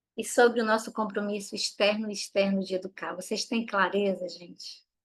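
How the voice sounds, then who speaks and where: At a medium pitch, a woman speaks in a flat monotone. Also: moderate pace. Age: 40s. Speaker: parenting educator. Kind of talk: online workshop talk.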